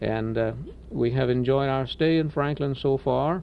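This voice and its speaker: The speaker is a man with a slight Cajun accent. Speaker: radio station manager. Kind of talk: interview. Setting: radio studio. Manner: hesitant, many filler words.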